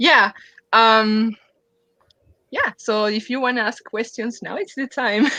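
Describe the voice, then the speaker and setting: In a dry, close recording with no echo, a woman with a non-native accent speaks very slowly at a fairly high pitch, her tone bright and sharp, with long, frequent pauses. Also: fairly even intonation. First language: not English. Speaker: comic artist. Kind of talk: casual chat. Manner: halting.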